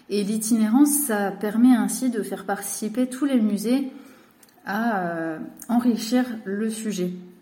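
Pitched fairly high, a woman speaks at a very slow pace with ordinary pitch variation and audible room echo. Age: 20s. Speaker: cultural mediator and art teacher. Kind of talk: recorded personal message.

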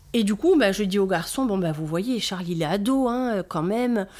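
In a very clean recording with a silent background, a woman with a Corsican accent speaks at a medium pitch and moderate pace with lively intonation. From Corsica (south). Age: 40s. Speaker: brand founder, mother of four. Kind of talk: casual interview chat.

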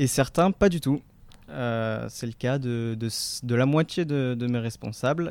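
A man speaks very slowly at a medium pitch with ordinary pitch variation, on a very clean recording with a silent background. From France, Marseille. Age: 20s. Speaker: charity volunteer. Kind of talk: interview. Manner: hesitant.

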